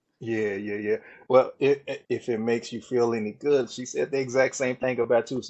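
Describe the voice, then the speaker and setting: A man talks at a fairly quick pace in a monotone, flat intonation with a Southern US accent. His pitch is medium, and his loudness swings widely. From Texas, Dallas. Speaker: mental wellness coach. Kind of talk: casual chat.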